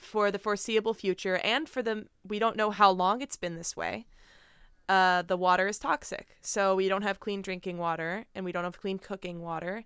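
Her medium pitch and fairly even intonation mark this woman's ordinary speaking voice. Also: moderate pace. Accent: American. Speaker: podcast host. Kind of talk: casual interview chat. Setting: video call.

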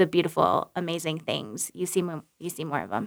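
In a plain, everyday voice, a woman talks at a moderate pace with fairly low pitch and ordinary pitch variation, recorded very cleanly against a silent background. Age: 30s. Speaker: former Olympic skier, wedding photographer. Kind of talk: casual chat.

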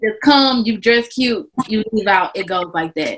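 This is an ordinary speaking voice from a woman, medium in pitch. She talks at a moderate pace with ordinary pitch variation. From Texas, Houston. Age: 20s. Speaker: fashion stylist and podcast host. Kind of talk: casual interview chat.

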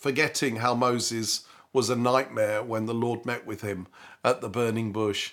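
Very clean, silent-background audio of speech at a moderate pace. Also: man. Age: 60s. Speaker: pastor. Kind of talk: devotional talk. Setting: home front room. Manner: halting with fillers.

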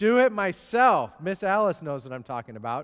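A man talks at a moderate pace with a Midwestern US accent. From US Midwest. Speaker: preacher. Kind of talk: sermon. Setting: church. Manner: conversational, storytelling.

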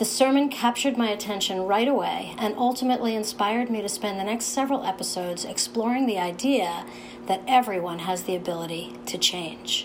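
Noticeable background noise sits behind a woman of medium pitch. She talks at a fairly quick pace with hardly any pauses. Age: 60s. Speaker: podcast host and writer. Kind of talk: interview conversation. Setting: guest's office.

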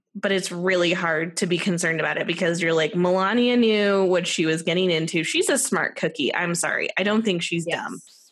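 A woman with an American accent speaks at a fairly low pitch, hardly pausing. Noticeable background noise runs behind her. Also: ordinary pitch variation, fairly quick pace. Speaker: podcast co-host. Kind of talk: casual chat. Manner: animated.

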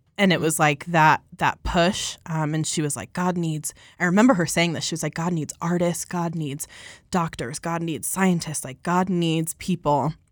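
A woman speaks in a plain, everyday voice at a fairly low pitch, with fairly even intonation and a moderate pace. The recording is very clean with a silent background. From Colorado. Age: 20s. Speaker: church worship team singer. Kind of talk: casual chat, faith testimony. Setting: studio.

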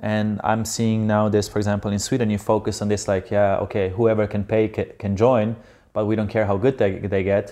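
In a Slovenian accent, a man speaks at a fairly quick pace with monotone, flat intonation. His fairly low voice has a dark, mellow tone against a quiet background. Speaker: professional beach volleyball player. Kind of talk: casual interview conversation.

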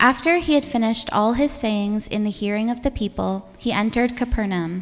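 A woman talks in an unremarkable speaking voice with ordinary pitch variation. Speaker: church reader. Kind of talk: scripture reading. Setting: church.

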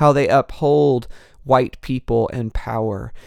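The delivery is a plain, everyday voice at a fairly slow pace. Pitch varies in an ordinary way. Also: man, very clean recording, silent background. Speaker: podcaster. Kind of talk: solo podcast monologue.

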